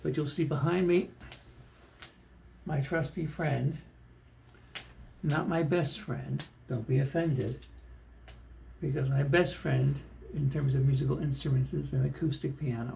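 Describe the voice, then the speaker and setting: Soft-spoken and dark, mellow in tone, a man with vocal fry talks at a fairly slow pace with long, frequent pauses, his fairly high pitch showing ordinary variation. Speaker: pianist. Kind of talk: casual chat. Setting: hotel room.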